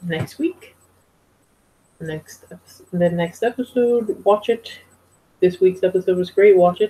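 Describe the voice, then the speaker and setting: The voice is somewhat breathy with a dark, mellow tone and ordinary pitch variation, moving at a fairly slow pace with long, frequent pauses and big swings in loudness. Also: woman, medium pitch for a woman. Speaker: TV show reviewer. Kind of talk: casual vlog review. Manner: halting.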